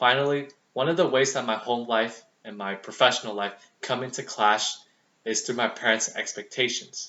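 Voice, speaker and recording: In an ordinary speaking voice, a man with an American accent talks at a moderate pace, medium in pitch, with fairly even intonation. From US, Vietnamese American family. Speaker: student. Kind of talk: speech. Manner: formal.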